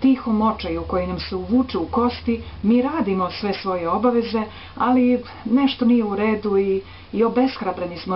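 Speaking at a very fast pace with ordinary pitch variation, a woman is heard over light background noise. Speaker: presenter. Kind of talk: spiritual talk to camera. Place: home room. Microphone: webcam.

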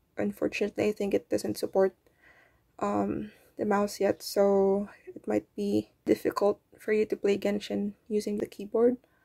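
A woman speaks quietly at a moderate pace. The sound is dry and close, with no echo. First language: not English. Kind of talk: tutorial talk to camera. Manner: hesitant, many fillers; quiet, held-down voice.

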